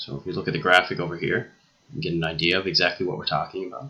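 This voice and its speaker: Very deep, low male voice, its pitch varying an ordinary amount. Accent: Newfoundland. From Newfoundland, eastern Canada. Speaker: teacher. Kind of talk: lecture. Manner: frequent fillers like okay and uh.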